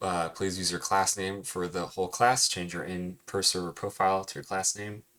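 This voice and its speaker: A soft-spoken man with a very deep, low pitch talks at a very fast pace. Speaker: cartooning teacher. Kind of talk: recorded lesson recap. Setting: screen recording with webcam.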